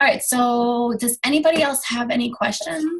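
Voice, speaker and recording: A somewhat breathy woman's voice with ordinary pitch variation. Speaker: direct sales team leader. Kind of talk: team training call. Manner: fast; animated.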